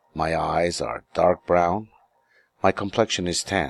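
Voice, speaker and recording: A man with an American accent talks very slowly in a very deep, low voice with vocal fry and fairly even intonation. The sound is dry and close with no echo. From New York City, US. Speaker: English teacher. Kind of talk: self-introduction lesson.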